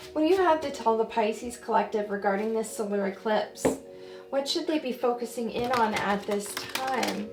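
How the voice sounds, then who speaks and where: Over music in the background, a woman speaks at a moderate pace with fairly high pitch and ordinary pitch variation. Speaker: tarot reader. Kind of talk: tarot reading.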